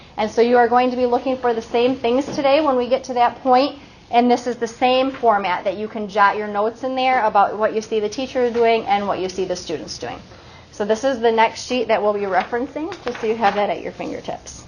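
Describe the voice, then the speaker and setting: Over noticeable background noise, a woman speaks quickly at a fairly high pitch. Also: ordinary pitch variation. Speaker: literacy trainer for teachers. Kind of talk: professional development workshop. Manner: fast.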